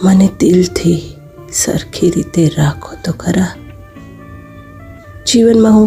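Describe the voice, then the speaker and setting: Music can be heard in the background. Over it, a woman speaks with a fairly low pitch. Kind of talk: poetry reading.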